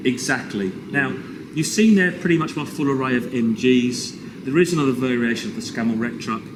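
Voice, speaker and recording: Speaking fairly quickly with lively intonation, a man with an English accent and medium pitch is heard over noticeable background noise, with audible room echo. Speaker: toy collector. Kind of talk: casual chat. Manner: loud; animated.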